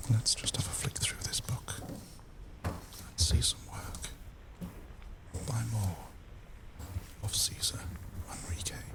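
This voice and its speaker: A whispered voice moves fairly slowly, broken by long, frequent pauses, with noticeable background noise behind it. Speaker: ASMR creator. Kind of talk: ASMR whispered reading. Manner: soft-spoken, whispered.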